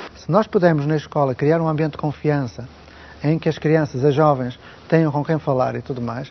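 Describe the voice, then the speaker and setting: Keeping a fairly even intonation, a man talks at a moderate pace and a fairly high pitch. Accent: European Portuguese. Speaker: education expert. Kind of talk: interview. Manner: formal.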